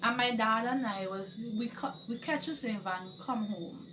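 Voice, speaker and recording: A woman speaks at a medium pitch with lively intonation. The room echo is audible, and there is noticeable background noise. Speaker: vlogger, wife of a police officer. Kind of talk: casual vlog chat. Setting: at home alone.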